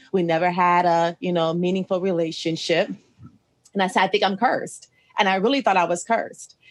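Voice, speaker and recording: In an American accent, a woman with an unremarkable speaking voice talks at a fairly quick pace and medium pitch, with fairly even intonation and very even loudness. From Ohio, US Midwest. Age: 40s. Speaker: podcast host, restaurant manager. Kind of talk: casual interview chat. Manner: conversational, frequent fillers.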